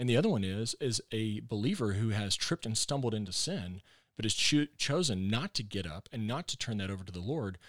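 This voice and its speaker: In a Texan accent, the speaker goes at a very fast pace on a very clean recording with a silent background. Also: man, dry, close sound with no echo. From Texas. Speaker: pastor. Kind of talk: casual interview chat. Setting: studio.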